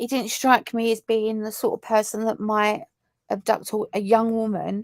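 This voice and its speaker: With a southern English accent, a woman at a fairly high pitch talks at a moderate pace in a very clean recording with a silent background and a dry, close sound with no echo. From southern England. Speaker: true crime YouTuber. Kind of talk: live stream chat reading viewer comments. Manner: casual, halting with many fillers.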